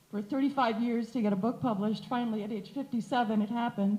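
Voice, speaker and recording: A woman with a fairly high voice talks very fast while noticeable noise fills the background. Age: 60s. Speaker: audience member, author. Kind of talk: audience comment at panel. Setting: panel event with audience. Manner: animated.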